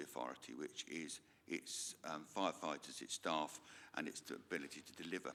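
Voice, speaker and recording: A man with a rural English accent speaks at a moderate pace in a bright, sharp tone. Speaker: local councillor. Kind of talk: formal committee meeting question. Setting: council meeting room.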